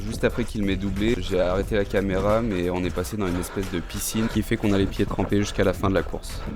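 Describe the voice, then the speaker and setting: A man talks very fast with fairly even intonation. There is audible room echo and noticeable background noise. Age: 30s. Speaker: amateur trail runner, vlogger. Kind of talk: vlog narration. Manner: casual, with fillers.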